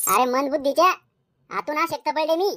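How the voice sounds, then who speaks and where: A woman does a squeaky, cartoonish character voice at a high pitch. Her intonation is lively and her pace moderate. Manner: sly, brazen.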